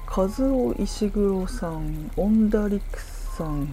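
The speaker is a woman. Noticeable background noise and audible room echo fill the recording. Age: 30s. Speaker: podcaster. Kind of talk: casual solo talk.

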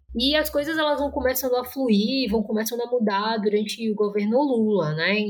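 Against noticeable background noise, a woman with a fairly high pitch speaks at a moderate pace with ordinary pitch variation and hardly any pauses. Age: 20s. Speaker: master's student in international relations. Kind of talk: interview, explanatory.

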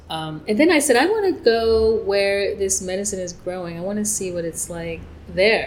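In an American accent, a woman talks at a moderate pace and medium pitch with lively intonation. Her loudness swings widely, and audible room echo is present. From New York. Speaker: psychic and life coach. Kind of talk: interview. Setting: in person.

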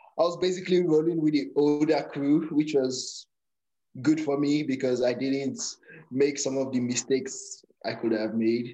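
A man speaks at a fairly high pitch with a dark, mellow tone. His pace is moderate and his pitch variation is ordinary. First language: a Nigerian native language. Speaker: powerlifter. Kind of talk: casual interview.

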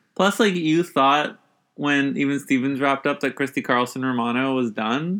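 A man with an ordinary speaking voice talks at a moderate pace. His pitch is fairly high, with ordinary variation. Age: 20s. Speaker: podcast co-host. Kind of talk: casual chat.

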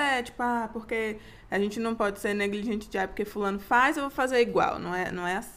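A woman's plain, everyday voice at medium pitch, with ordinary pitch variation. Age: 20s. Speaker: podcast co-host. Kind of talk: casual chat.

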